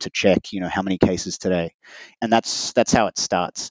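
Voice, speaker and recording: A man with an Australian accent talks at a very fast pace. His pitch is very deep and low. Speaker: interview guest. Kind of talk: interview.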